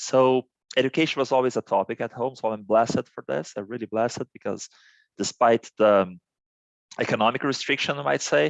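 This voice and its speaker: With a Portuguese accent, a man talks at a fairly quick pace and medium pitch, his intonation lively. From Brazil, Santos. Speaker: business executive. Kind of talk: interview. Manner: halting, many fillers and repetitions.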